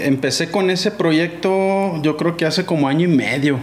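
With noticeable background noise behind him, a man speaks in a high pitch with ordinary pitch variation. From Sinaloa, Mexico (Guamúchil). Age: 30s. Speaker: skateboarder. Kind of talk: casual chat.

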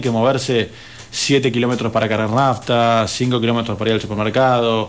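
A man is talking here. His voice is pitched in the middle range. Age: 30s. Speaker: mayoral candidate. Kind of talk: radio interview.

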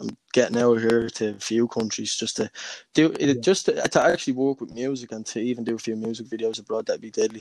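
This man talks at a very fast pace with a Dublin accent. His voice sits at a medium pitch. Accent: Dublin Irish. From Dublin, Ireland (Crumlin). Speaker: independent musician and rapper. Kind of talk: casual interview.

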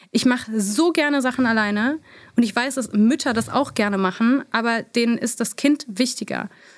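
Ordinary pitch variation and a fairly slow pace in a plain, everyday voice, captured on a very clean recording against a silent background. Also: woman. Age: 30s. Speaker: beauty influencer. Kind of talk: interview.

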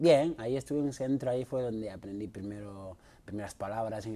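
A man talks at a fairly quick pace with a fairly low pitch. His tone is dark and mellow, and his intonation is fairly even. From Mauritania. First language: not Spanish (speaking Spanish). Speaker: martial arts fighter. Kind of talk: interview.

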